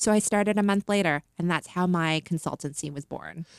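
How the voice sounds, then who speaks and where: A woman with an ordinary speaking voice and a Canadian accent, fairly low in pitch, at a fairly quick pace with ordinary pitch variation, in a very clean recording with a silent background and a dry, close sound with no echo. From Canada. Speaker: licensing and brand marketing consultant. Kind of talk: casual interview. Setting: studio.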